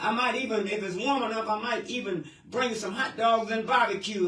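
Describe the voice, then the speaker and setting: An animated, raised and projected male voice at an extremely high pitch for a man, with an American accent, a moderate pace and noticeable background noise. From Cleveland, Ohio, US Midwest. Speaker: radio show host. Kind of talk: call-in radio show.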